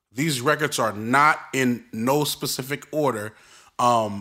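This man speaks with a Brooklyn accent and a bright, sharp tone. His pitch is medium, with ordinary pitch variation. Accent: Brooklyn New York. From Brooklyn, New York. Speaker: podcast host. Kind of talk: casual solo podcast monologue. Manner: casual, upbeat, conversational.

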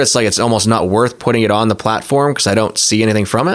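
A man at medium pitch, very fast pace and ordinary pitch variation, against noticeable background noise. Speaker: podcast host. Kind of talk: casual interview chat.

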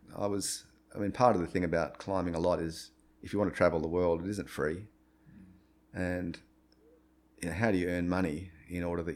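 With an Australian accent, a man speaks in a very deep, low pitch and fairly even intonation. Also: long, frequent pauses. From Australia, Brisbane. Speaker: retired rock climber and entrepreneur. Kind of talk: interview. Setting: at his home. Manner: halting.

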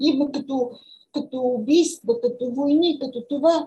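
In a dark, mellow tone, a woman speaks at a high pitch and a fairly slow pace. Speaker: journalist and writer. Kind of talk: interview. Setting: video call.

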